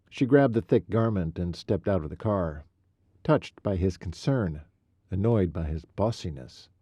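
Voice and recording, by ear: In a natural voice, the text is read out loud over a quiet background.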